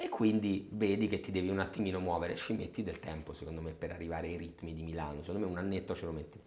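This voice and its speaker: A man amid noticeable background noise. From Rome, Italy. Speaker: general manager of a research firm. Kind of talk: interview. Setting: office.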